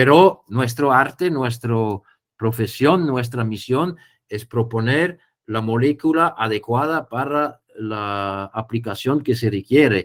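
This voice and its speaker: Very slow speech from a man with a non-native accent, medium pitch and ordinary pitch variation. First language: not Spanish (speaking Spanish). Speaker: poultry biosecurity specialist. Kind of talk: webinar Q&A. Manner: halting.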